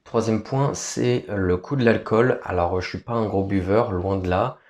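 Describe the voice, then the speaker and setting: Against a quiet background, a man speaks very slowly with a fairly low pitch. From France. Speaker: vlogger. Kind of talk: casual vlog talk. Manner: hesitant.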